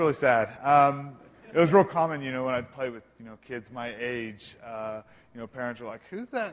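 At a moderate pace, a man with an American accent speaks at a medium pitch with ordinary pitch variation in a plain, everyday voice. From Oklahoma. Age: 20s. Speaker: church member sharing life story. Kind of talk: testimony.

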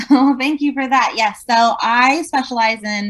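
A somewhat breathy voice at a fairly slow pace over a quiet background. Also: woman. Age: 40s. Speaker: real estate agent. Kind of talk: interview.

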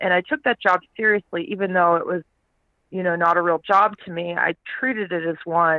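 In an American accent, a woman speaks in a normal speaking voice, with a fairly low pitch and fairly even intonation. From Texas, Houston. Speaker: startup CEO and futurist. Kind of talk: interview.

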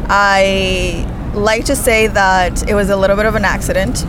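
A woman speaks with audible room echo and noticeable background noise behind her. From Spain. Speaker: materials engineer. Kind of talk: casual interview chat. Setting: outdoors in New York City.

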